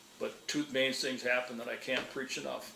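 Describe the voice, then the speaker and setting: Man with an American accent, medium pitch, monotone, flat intonation and moderate pace, amid audible room echo and noticeable background noise. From northern Minnesota. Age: 60s. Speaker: retired wildlife manager. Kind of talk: interview. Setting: at his home. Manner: conversational, with frequent fillers.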